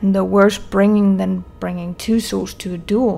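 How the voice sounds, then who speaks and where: A woman puts on a character voice, quiet and strained, at a medium pitch. She speaks at a fairly slow pace. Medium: read story. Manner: quiet, restrained.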